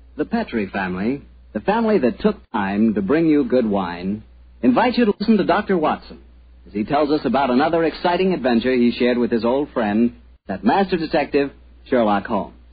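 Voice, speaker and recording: A man's medium-pitched, warm, cheerful voice, fairly quick, with very wide pitch swings. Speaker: radio announcer and sponsor pitchman. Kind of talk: radio commercial pitch and announcing. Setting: studio. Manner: warm, cheerful, salesy, smooth.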